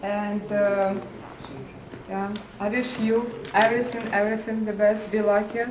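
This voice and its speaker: With noticeable background noise and audible room echo, a woman with a Russian accent speaks at a medium pitch and a fairly slow pace in a monotone, flat intonation. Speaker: family member giving a toast. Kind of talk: birthday toast. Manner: halting.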